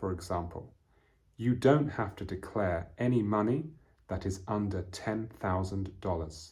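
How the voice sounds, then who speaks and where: A man's fairly low, somewhat breathy voice with a British accent, ordinary pitch variation and a fairly slow pace. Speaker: English teacher. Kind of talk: lesson. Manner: slow and clear.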